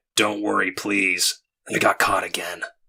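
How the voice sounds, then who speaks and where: At a moderate pace, someone performs a raspy, put-on character voice. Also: man, fairly low pitch for a man. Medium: read story. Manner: clipped, gruff; cheerful, glib.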